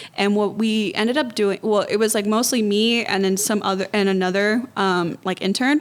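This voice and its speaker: Here is a plain, everyday voice with an American accent. It moves at a moderate pace with fairly even intonation. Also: woman. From US, Mexican and Honduran parents. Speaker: nonprofit executive director. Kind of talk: podcast interview. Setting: studio podcast streamed live.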